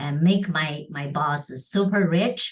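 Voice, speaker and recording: A woman with a somewhat breathy voice. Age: 60s. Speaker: charity founder and entrepreneur. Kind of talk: interview conversation.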